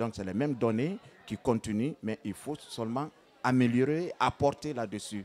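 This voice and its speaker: The speaker is a man with ordinary pitch variation. He talks at a fairly slow pace. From Guinea. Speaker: griot. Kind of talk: interview answer.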